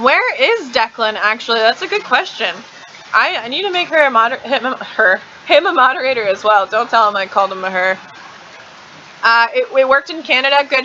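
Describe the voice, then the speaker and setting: With an American accent, a woman speaks at a fairly quick pace in a high pitch, her voice making very wide pitch swings. Noticeable background noise is present. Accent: slight southern accent, thick when drinking. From Kansas. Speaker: live streamer. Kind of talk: live stream chat. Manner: fast; casual, chatty.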